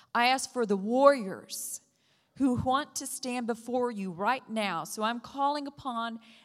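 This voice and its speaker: Fairly slow speech from a woman, fairly high in pitch with ordinary pitch variation, on a very clean recording with a silent background. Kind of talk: fervent prayer. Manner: impassioned, fervent, vivid imagery.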